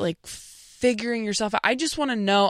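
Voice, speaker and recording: Recorded with a dry, close sound and no echo, a woman speaks with a Midwestern accent. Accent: Midwestern-sounding American. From California. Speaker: stand-up comedian. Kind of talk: casual interview.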